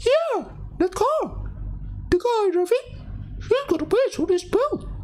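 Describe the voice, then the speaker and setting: This put-on character voice is squeaky and pitched extremely high. The pace is fairly slow. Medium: virtual streamer. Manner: smug, streetwise.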